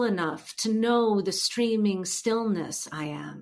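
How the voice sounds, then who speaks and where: With a slight New Jersey accent, a woman speaks at a fairly slow pace and ordinary pitch variation. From New Jersey, US. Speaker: poet and translator. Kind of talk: poetry reading. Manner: exuberant.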